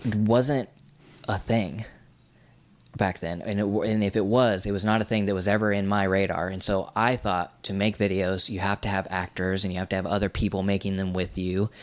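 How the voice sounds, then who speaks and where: At a moderate pace and with fairly even intonation, this is a plain, everyday voice. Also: man. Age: 20s. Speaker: YouTuber and filmmaker. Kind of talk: casual interview chat.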